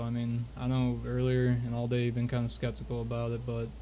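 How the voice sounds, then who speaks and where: A man talks at a moderate pace, his words carrying audible room echo. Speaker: roleplay streamer. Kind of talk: in-character roleplay chat. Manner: whispering.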